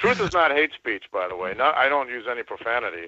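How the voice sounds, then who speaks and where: Bright and sharp in tone, a man speaks at a fairly high pitch with vocal fry and lively intonation. His moderate pace comes through with a dry, close sound and no echo. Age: 60s. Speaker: caller, songwriter. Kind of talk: call-in conversation.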